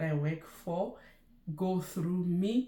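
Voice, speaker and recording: A woman with a dark, mellow, somewhat breathy tone speaks at a very slow pace amid audible room echo. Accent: Lesotho. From Lesotho. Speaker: nurse and YouTuber. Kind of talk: casual vlog chat.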